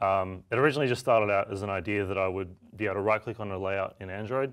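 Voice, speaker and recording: Over a quiet background, a man with an Australian accent talks at a very fast pace in a fairly low pitch. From Australia, Melbourne. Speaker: software developer and tool maker. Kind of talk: software demo tutorial. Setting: studio. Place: studio.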